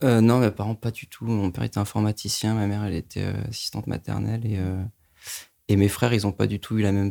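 In a very clean recording with a silent background, a man with a fairly low pitch and a dark, mellow tone speaks very fast in a monotone, flat delivery. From Paris suburbs, France. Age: 20s. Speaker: film director. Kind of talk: interview.

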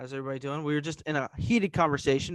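Over a quiet background, a man speaks very fast in a fairly high voice with fairly even intonation, the sound dry and close with no echo. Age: 20s. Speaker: podcast host. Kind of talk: casual chat.

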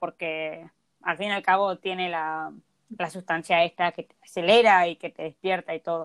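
A woman in an unremarkable speaking voice talks at a moderate pace at medium pitch, in a dry, close sound with no echo. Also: very clean recording, silent background. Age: 20s. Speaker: podcast co-host. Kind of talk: casual chat.

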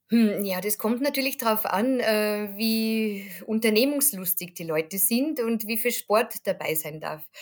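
A woman's fairly high-pitched voice at a very slow pace with hardly any pauses and ordinary pitch variation, in a very clean recording with a silent background. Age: 40s. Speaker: tour guide. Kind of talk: interview about travel tips.

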